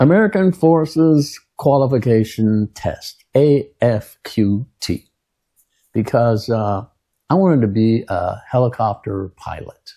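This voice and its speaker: This man's voice has a dark, mellow tone, medium pitch and lively intonation, and it is somewhat breathy. He talks at a very slow pace on a very clean recording with a silent background. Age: 70s. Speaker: Vietnam war veteran. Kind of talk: casual storytelling monologue. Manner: rambling with many fillers and hesitations.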